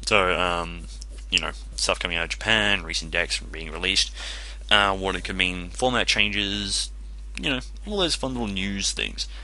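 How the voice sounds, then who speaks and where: Noticeable background noise accompanies a man with an Australian accent who speaks at a moderate pace with long, frequent pauses. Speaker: gaming commentator. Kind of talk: gameplay commentary. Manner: casual, rambling.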